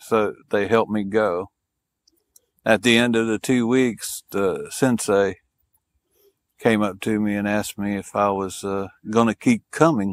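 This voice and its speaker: A man's fairly low voice at a fairly slow pace, fairly even in intonation, with long, frequent pauses and a dry, close sound with no echo on a very clean recording with a silent background. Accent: Southern US. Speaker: police officer and war veteran. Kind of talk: casual interview. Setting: in-person interview.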